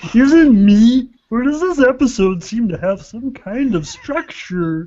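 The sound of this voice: Using a put-on character voice, a female-sounding speaker talks at a fairly slow pace and a fairly high pitch.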